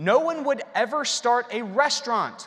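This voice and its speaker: Lively intonation in an animated tone. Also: man. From Alabama. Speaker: psychologist and keynote speaker. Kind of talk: conference keynote talk. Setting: stage with audience.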